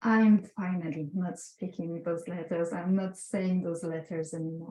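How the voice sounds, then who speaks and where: A woman speaks with a strong non-native accent at a fairly slow pace. Her medium-pitched voice has a dark, mellow tone and is somewhat breathy. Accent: strong foreign. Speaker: visual artist. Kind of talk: artist talk presenting slides. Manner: halting, many filler sounds.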